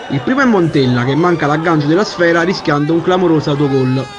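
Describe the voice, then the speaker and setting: Noticeable background noise is present throughout. The speech moves at a fairly quick pace. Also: man. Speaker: sports commentator. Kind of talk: sports match report, recap narration of highlights. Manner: brisk, matter-of-fact, formal.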